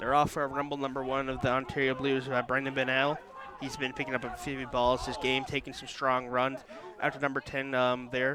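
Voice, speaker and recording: A man speaks at a fairly quick pace and a medium pitch, in a monotone, flat intonation. Noticeable background noise runs under his voice. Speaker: rugby commentator. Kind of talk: live commentary. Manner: fast.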